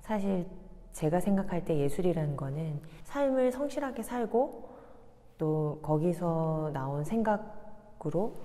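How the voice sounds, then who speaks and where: The tone is dark and mellow, with very wide pitch swings. The pace is fairly slow. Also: woman. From South Korea. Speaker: painter and installation artist. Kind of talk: interview. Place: hall.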